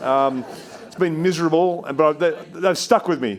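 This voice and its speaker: Here is a man with an Australian accent. His fairly high voice has an animated tone. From Australia, New South Wales. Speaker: investment firm CEO. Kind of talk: onstage interview Q&A. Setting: stage with audience.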